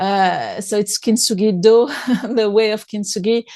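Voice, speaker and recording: A woman with a French accent has a fairly high voice of dark, mellow tone and ordinary pitch variation. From France. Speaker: author and speaker. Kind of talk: interview conversation. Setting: podcast. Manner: hesitant, with repetitions.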